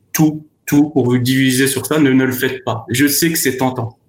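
The man's voice is somewhat breathy and sits at medium pitch. He speaks at a fairly slow pace. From France. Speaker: former trader and consultant. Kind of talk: remote discussion interview.

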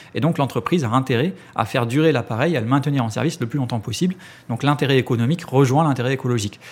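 This man talks at a very fast pace. His pitch is medium with ordinary variation. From France, Ariège. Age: 30s. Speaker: cooperative co-founder. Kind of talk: interview. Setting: office. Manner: halting.

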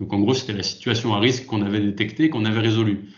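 Fairly low and somewhat breathy, a man's voice rushes at a very fast pace with fairly even intonation and audible room echo. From France, Lyon. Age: 30s. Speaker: industrial safety manager. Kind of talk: interview. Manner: hesitant, many fillers.

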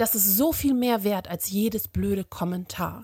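Somewhat breathy and fairly high in pitch, a woman speaks at a moderate pace with ordinary pitch variation on a very clean recording with a silent background. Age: 40s. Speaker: social media activist. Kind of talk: recorded voice message.

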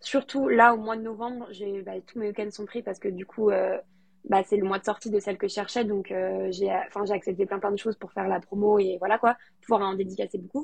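This woman talks at a fairly quick pace. Hers is an unremarkable speaking voice. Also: medium pitch for a woman, fairly even intonation. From France, Lyon. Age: 20s. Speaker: novelist. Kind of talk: interview.

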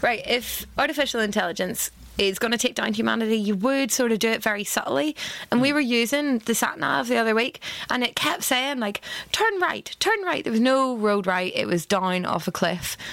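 In a Northern Irish accent, a woman talks at a fairly quick pace with lively intonation. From Northern Ireland. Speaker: cookery workshop leader and caterer. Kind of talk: casual chat.

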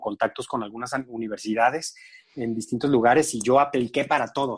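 At a moderate pace, a man with an ordinary speaking voice and a medium pitch speaks with ordinary pitch variation. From Mexico, San Luis Potosí. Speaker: TV food and travel show host. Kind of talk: casual interview chat.

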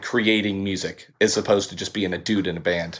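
A man with an American accent talks at a fairly quick pace in a plain, everyday voice, his intonation fairly even. The recording is very clean, with a silent background. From US South, Panama City, Florida. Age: 40s. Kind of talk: interview.

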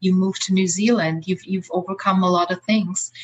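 A woman with an Austrian accent speaks at a medium pitch and a moderate pace. Her voice is somewhat breathy, her intonation monotone and flat. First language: German. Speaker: life coach. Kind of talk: interview. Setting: video call.

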